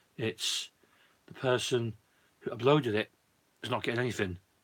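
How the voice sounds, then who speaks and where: A man with a British accent, at a moderate pace with ordinary pitch variation. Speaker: YouTuber, disc collector. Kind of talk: live stream chat.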